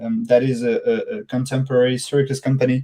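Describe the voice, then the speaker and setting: Someone with a French accent speaks at a moderate pace. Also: man. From France, Dijon. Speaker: circus company business developer. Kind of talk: interview. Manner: hesitant, many fillers and repeats.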